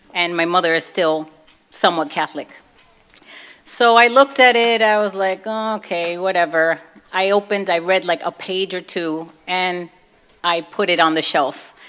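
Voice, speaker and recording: A woman with a Brooklyn accent talks at a moderate pace, her medium pitch showing ordinary variation. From Brooklyn, New York (Puerto Rican family). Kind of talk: testimony. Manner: animated.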